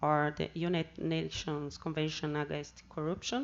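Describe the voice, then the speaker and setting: In a Brazilian Portuguese accent, a woman with a fairly low pitch speaks at a moderate pace. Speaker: seminar speaker on anti-corruption work. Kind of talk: conference talk. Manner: halting.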